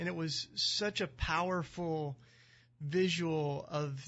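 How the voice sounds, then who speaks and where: With a Southern US accent, the speaker talks at a very slow pace with fairly even intonation. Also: man. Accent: Southern drawl, still noticeable. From US South, East Tennessee mountains. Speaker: activist and author, founder of a community. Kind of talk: radio interview. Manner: casual, many fillers.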